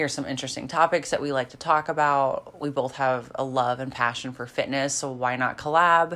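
A woman with a slight Midwestern accent and a very deep, low pitch talks at a fairly quick pace with hardly any pauses, fairly even intonation and a bright, sharp tone. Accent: slight Midwestern twang. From rural Kansas. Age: 20s. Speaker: fitness podcast co-host, figure competitor. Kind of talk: casual chat.

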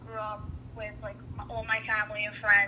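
A woman with a Philadelphia accent over noticeable background noise. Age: 20s. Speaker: interviewee. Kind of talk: interview.

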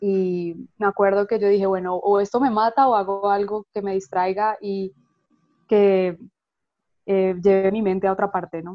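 A woman's medium-pitched voice at a fairly slow pace, flat and monotone throughout. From Colombia. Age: 30s. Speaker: graphic designer and illustrator. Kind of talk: interview.

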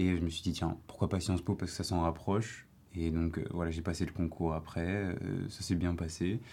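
Very deep and low with a dark, mellow tone, a man's voice moves at a moderate pace in monotone, flat intonation. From Paris, France. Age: 19. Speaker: university student, association president. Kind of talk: casual debate. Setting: studio.

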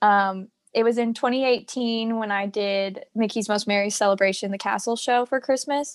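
With an American accent and an ordinary speaking voice, a woman talks at a moderate pace against a quiet background, her fairly high pitch carrying fairly even intonation. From Virginia, US. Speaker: former theme park worker and performer. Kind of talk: casual interview.

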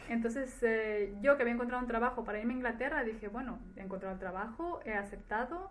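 Amid noticeable background noise and audible room echo, a woman speaks fairly quickly at a fairly high pitch. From Ecuador, then Spain from childhood. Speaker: nurse. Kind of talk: interview testimony.

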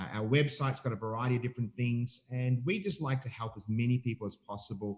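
A somewhat breathy man with an Australian accent, talking at a fairly quick pace. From Australia, Melbourne. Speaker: family ministry leader. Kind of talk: casual interview.

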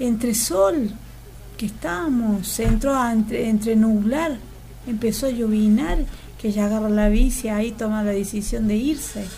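Amid audible room echo, a woman talks at a fairly slow pace with a fairly high pitch and ordinary pitch variation. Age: 50s. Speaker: local resident. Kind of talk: casual interview.

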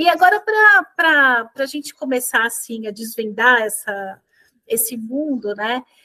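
A bright, sharp tone at a fairly slow pace. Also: woman, high pitch for a woman, ordinary pitch variation. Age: 40s. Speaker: workplace wellbeing specialist. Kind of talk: webinar interview. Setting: video webinar.

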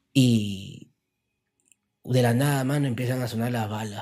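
A man speaks at a very slow pace with fairly even intonation. His tone is dark and mellow. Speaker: rapper. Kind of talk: casual interview.

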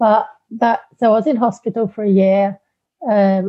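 A woman with a British accent, medium in pitch, at a fairly slow pace. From UK. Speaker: life coach. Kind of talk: interview. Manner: hesitant, many fillers.

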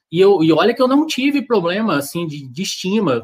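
Speaking at a fairly quick pace with lively intonation, a man has an unremarkable speaking voice. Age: 30s. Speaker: amateur marathon runner and social media creator. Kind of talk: casual chat. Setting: live video stream.

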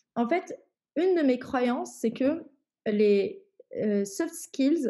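The intonation is lively and the tone dark and mellow. The pace is very slow. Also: woman. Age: 20s. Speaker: head of quality assurance. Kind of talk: interview. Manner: hesitant, many fillers.

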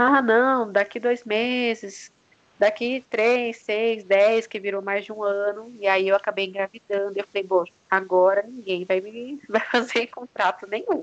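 In an ordinary speaking voice, a woman talks at a fairly slow pace with a fairly high pitch and fairly even intonation. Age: 30s. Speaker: entrepreneur mother. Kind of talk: casual interview.

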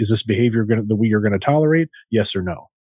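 Very fast speech from a man at medium pitch, dry and close with no echo, over a quiet background. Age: 40s. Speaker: podcast co-host. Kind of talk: casual chat.

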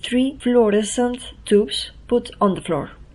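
The speaker has a Spanish accent. The delivery is fairly slow. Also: woman. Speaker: poet and performance artist. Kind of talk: reading aloud.

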